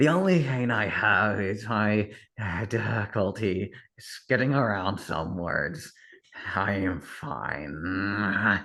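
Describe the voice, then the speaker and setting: Putting on a character voice, a man speaks at a very slow pace in a raspy, fairly low tone. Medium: actual play. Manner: curt, strained.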